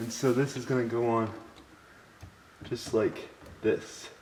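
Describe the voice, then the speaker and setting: This man talks at a moderate pace with a medium pitch. His intonation is monotone and flat, and background noise is noticeable. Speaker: car project hobbyist. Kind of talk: casual talk to camera.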